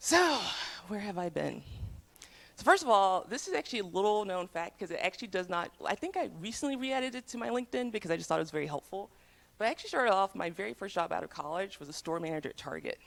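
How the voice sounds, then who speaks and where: In an American accent, a woman speaks very fast at a medium pitch with very wide pitch swings, vocal fry, and big swings in loudness, on a very clean recording with a silent background. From US South. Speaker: tech program manager. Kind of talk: talk to students.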